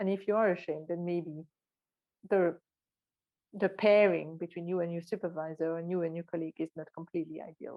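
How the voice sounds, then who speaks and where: In a strong French accent, a woman talks at a fairly quick pace with long, frequent pauses, her fairly low voice monotone and flat. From Belgium, Brussels. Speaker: neuroscientist. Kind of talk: talk at online event. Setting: online event.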